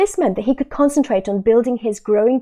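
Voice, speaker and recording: Talking at a very fast pace, a woman with a British accent has a fairly high pitch, a dark, mellow tone and lively intonation. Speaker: exam coach. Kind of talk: webinar sales pitch. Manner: animated.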